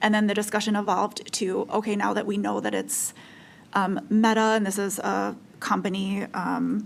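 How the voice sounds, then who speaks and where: A woman speaks at medium pitch. Her intonation is monotone and flat. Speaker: utility regulatory commissioner. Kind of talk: regulatory commission deliberation. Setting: public meeting. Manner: slow, deliberate; hesitant, many fillers.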